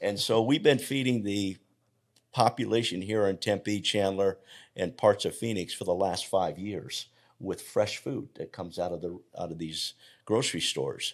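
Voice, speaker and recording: A man uses an ordinary speaking voice, fairly low in pitch, with ordinary pitch variation at a moderate pace. The recording is very clean, with a silent background. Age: 60s. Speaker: health coach. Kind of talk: interview conversation.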